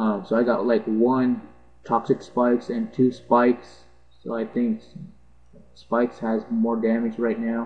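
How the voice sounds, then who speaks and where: Speaking in a medium-pitched voice, a man goes at a fairly slow pace with long, frequent pauses and a flat, monotone delivery. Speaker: gaming video narrator. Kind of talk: gameplay commentary. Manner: halting, stuttering.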